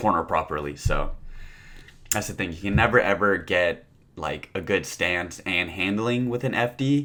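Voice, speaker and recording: A man's fairly low voice with a bright, sharp tone and lively intonation. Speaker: car youtuber. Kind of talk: subscriber Q&A. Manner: fast; casual.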